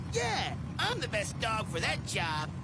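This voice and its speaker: With loud background noise behind him, a man does a cartoonish character voice at a fairly slow pace. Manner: cocky.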